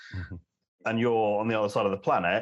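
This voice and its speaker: A man with a London accent speaks at a fairly low pitch with fairly even intonation over a quiet background. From London, England. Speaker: telecom analyst. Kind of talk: casual interview chat. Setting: home, remote call.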